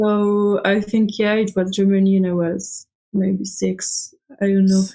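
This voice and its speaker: A woman with a French accent speaks at a fairly slow pace in a dark, mellow tone, her loudness very even and her intonation monotone and flat. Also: medium pitch for a woman. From France, Alsace. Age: 20s. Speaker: student traveler. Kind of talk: interview. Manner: hesitant, many fillers.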